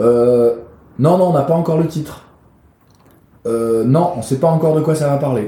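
With audible room echo, a man speaks at a moderate pace in a dark, mellow, somewhat breathy voice with ordinary pitch variation. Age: 40s. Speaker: actor and playwright. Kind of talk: interview. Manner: hesitant, many fillers and repetitions.

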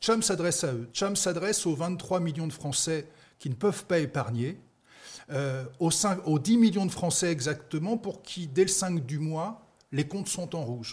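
Over a silent background in a very clean recording, a man speaks fairly slowly with a high pitch and lively intonation. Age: 50s. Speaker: startup founder. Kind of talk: pitch interview.

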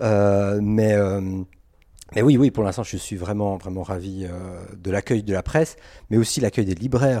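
In a very clean recording with a silent background, a man speaks at a fairly slow pace with long, frequent pauses. His voice is fairly low and dark, mellow in tone, with ordinary pitch variation. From Geneva, Switzerland. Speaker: comic book author. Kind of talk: interview. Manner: halting.

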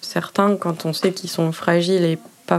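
Fairly quick talking from a woman, noticeable background noise behind her. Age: 30s. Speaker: nurse. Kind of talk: interview testimony. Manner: hesitant, with fillers.

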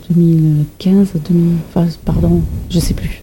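Over noticeable background noise, a woman with a German accent speaks in a fairly low pitch with monotone, flat intonation. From Germany. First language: German (speaking French). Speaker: environmental educator. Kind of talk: interview. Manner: hesitant, many fillers.

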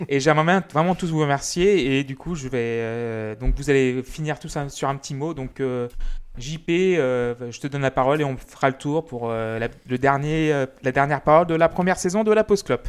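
He speaks in a normal speaking voice at a moderate pace. The man's pitch is fairly high, with ordinary variation. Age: 30s. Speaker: music podcast host. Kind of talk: casual chat.

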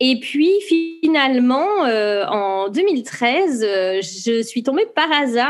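A woman speaks at a high pitch. Her voice swings very widely in pitch. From France. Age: 30s. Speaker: knitting brand founder. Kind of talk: interview.

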